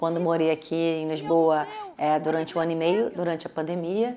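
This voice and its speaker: A woman speaks with a Brazilian accent. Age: 50s. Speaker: actress and playwright. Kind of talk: interview answer.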